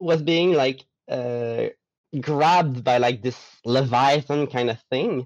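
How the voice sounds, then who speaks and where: A man's medium-pitched voice, fairly slow and lively in intonation, with a dry, close sound and no echo. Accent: Quebec. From Quebec, Gaspé. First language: French. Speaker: artist and roleplayer. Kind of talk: casual chat.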